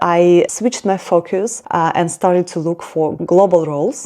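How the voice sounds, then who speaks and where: The woman's voice sits fairly low in pitch, and she keeps a moderate speed. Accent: Russian. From Russia. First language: Russian. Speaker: career vlogger. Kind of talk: personal vlog talk.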